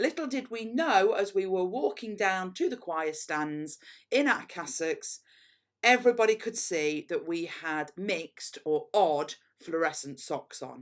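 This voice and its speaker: Speaking fairly slowly in an East Midlands accent, a woman uses a medium pitch with very wide pitch swings on a very clean recording with a silent background. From England, Derbyshire (Mickleover, Derby). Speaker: headteacher. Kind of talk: school assembly talk.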